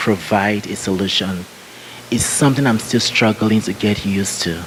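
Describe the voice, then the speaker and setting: Against noticeable background noise, a man talks at a fairly low pitch with fairly even intonation. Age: 40s. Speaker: panel speaker. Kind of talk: Q&A answer. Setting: conference. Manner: halting.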